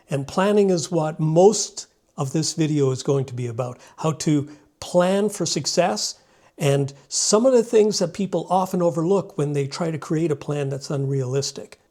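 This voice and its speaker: Recorded very cleanly over a silent background, a man speaks at a moderate pace in a fairly high, dark and mellow voice with ordinary pitch variation. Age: 60s. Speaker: homesteader and solo ocean sailor. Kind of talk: vlog talk to camera. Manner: some hesitation and repeated words.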